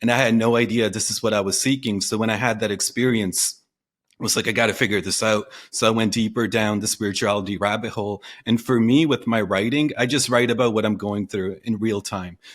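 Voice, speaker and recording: A man with an unremarkable speaking voice talks at a medium pitch and a fairly quick pace, with fairly even intonation, on a very clean recording with a silent background. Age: 30s. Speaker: copywriter and online entrepreneur. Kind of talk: casual chat.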